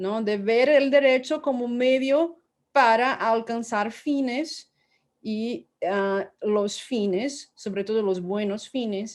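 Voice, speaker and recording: Against a quiet background, a woman with a Portuguese accent and a high pitch speaks at a very slow pace with ordinary pitch variation. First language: Portuguese (speaking Spanish). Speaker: law professor, book author. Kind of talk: academic book presentation. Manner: halting, many repetitions and fillers.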